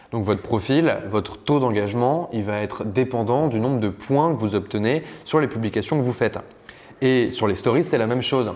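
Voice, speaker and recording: This man speaks at a medium pitch with ordinary pitch variation. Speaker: online business course instructor. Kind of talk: tutorial. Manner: fast; casual.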